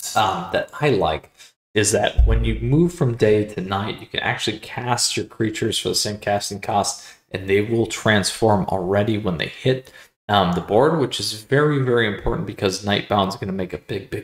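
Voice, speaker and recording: Speaking at a moderate pace, a man with a fairly low pitch sounds somewhat breathy and shows ordinary pitch variation. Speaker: card game content creator. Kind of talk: video guide. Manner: enthusiastic; filler-heavy.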